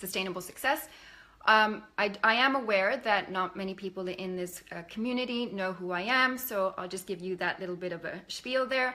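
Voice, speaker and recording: This woman speaks in a Canadian accent with an unremarkable speaking voice, a medium pitch, ordinary pitch variation and a moderate pace. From Canada. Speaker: life coach. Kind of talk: live stream presentation. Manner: casual, many filler words.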